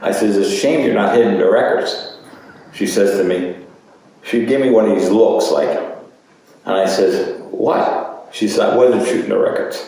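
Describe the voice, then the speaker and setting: A man with a New Jersey accent talks at a moderate pace with long, frequent pauses. Audible room echo and noticeable background noise fill the recording. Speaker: oral history interviewee. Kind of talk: oral history interview. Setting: museum. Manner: halting.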